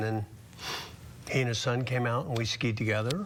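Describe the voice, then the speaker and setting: A man with a normal speaking voice talks at a medium pitch with fairly even intonation. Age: 60s. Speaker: patient. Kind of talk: testimony.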